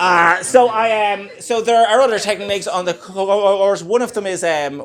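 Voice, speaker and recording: The speaker is a man with an Irish accent. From Ireland. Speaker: stand-up comedian. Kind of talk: stand-up comedy set. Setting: live comedy club. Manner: stammering, with pauses.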